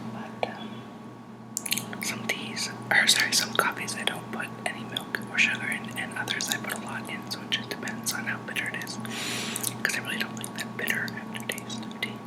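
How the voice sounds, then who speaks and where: A man whispers at a fairly quick pace. Noticeable background noise sits behind him. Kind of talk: ASMR whisper talk to camera about tea. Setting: laptop microphone, home recording. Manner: whispered, soft-spoken.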